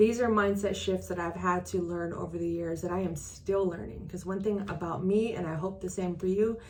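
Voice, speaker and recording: A woman with a fairly low pitch speaks at a moderate pace with fairly even intonation, amid audible room echo and noticeable background noise. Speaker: transaction coordinator and business coach. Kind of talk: casual vlog talk to camera. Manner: halting, self-correcting.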